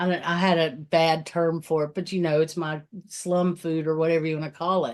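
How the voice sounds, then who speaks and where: An ordinary speaking voice from a woman, fairly low in pitch, at a moderate pace against a quiet background. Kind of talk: casual podcast conversation.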